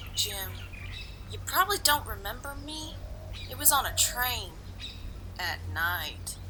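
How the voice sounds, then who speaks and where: Amid loud background noise, a female-sounding voice performs a put-on character voice at a fairly slow pace. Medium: audio drama.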